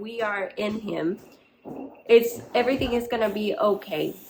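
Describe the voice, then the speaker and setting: A woman with a Spanish accent and a fairly high pitch talks at a fairly slow pace over noticeable background noise. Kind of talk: faith-based motivational talk. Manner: halting.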